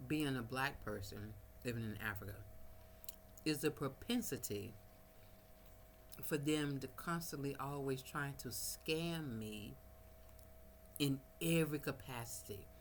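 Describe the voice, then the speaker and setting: The speaker has an American accent, vocal fry and lively intonation. The pace is fairly slow, broken by long, frequent pauses. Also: woman, very deep, low pitch for a woman. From United States. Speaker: vlogger. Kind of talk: casual vlog monologue. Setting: at home, no power, small fan running.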